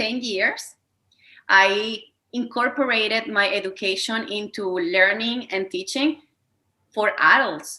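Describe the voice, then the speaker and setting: This woman talks with a Spanish accent at a fairly high pitch. She keeps a fairly slow pace and ordinary pitch variation. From Venezuela. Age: 30s. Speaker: wellness coach. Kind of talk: interview.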